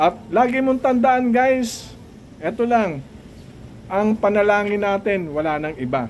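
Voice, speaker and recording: A man's high-pitched voice at a fairly slow pace. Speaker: vlogger. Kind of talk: casual monologue vlog. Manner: raises voice with emotion; blunt, frank delivery.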